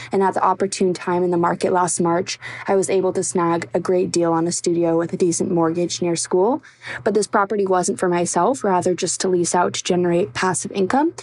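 Noticeable background noise sits behind a woman talking at a fairly quick pace. Her voice is fairly low, with ordinary pitch variation and very even loudness. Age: 20s. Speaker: university student. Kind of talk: recorded voice question.

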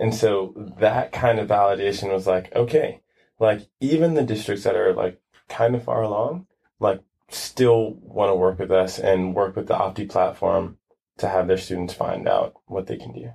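Fairly low-pitched, somewhat breathy male voice with an American accent, a dark, mellow tone, ordinary pitch variation and a moderate pace. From Brooklyn, New York. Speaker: startup founder. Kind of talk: casual interview.

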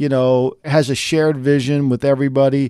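At a moderate pace, a man speaks with a dark, mellow tone, the sound dry and close with no echo on a very clean recording against a silent background. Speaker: sports journalist. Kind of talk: sports analysis discussion.

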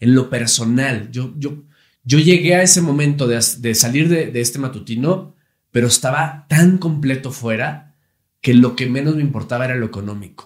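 Speaking at a moderate pace, a man with a somewhat breathy, medium-pitched voice shows ordinary pitch variation. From Monterrey, Nuevo León, Mexico. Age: 30s. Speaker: TV host and actor. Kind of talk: casual chat.

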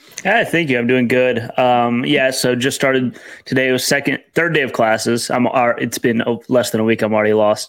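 With an American accent, this voice has a fairly bright tone, fairly even intonation and a moderate pace. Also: man, medium pitch for a man.

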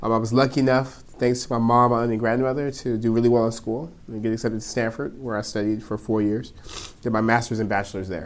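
Speaking very fast with an American accent, a man keeps a medium pitch and monotone, flat intonation. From California, Stockton. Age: 20s. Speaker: mayor. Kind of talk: interview.

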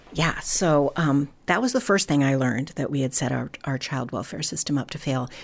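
Over noticeable background noise, a woman with a very deep, low pitch talks at a moderate pace with ordinary pitch variation and hardly any pauses. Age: 60s. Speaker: foster care community founder. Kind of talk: interview.

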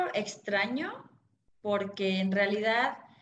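A woman's voice with audible room echo. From Mexico City. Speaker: personal finance author. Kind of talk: interview.

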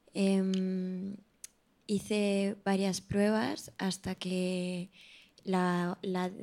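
A woman speaks in a flat, monotone way with a dark, mellow tone, in a very clean recording with a silent background. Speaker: actress. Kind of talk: interview conversation.

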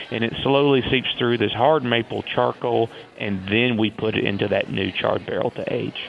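With a Southern US accent, a man talks at a moderate pace and fairly even intonation against noticeable background noise. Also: medium pitch for a man. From US South, Tennessee. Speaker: whiskey distiller. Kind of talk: interview.

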